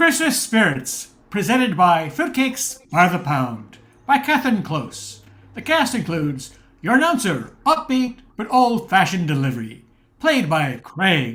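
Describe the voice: Putting on a character voice, a man speaks at a fairly slow pace with a high pitch, big pitch swings and a fairly bright tone.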